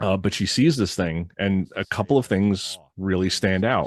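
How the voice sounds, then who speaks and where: In an American accent, a man with an unremarkable speaking voice talks at a moderate pace, his fairly low pitch showing ordinary variation against a quiet background. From Connecticut, Litchfield County. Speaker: podcast host. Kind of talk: reading witness reports with commentary. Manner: casual, with filler words.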